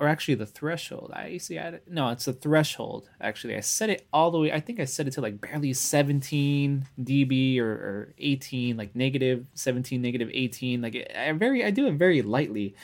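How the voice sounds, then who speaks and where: Fairly quick delivery in a Californian accent, with ordinary pitch variation and hardly any pauses. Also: man, medium pitch for a man. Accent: Californian American English. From US West Coast, Los Angeles. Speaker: music producer. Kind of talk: casual chat. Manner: laid-back, laughs often.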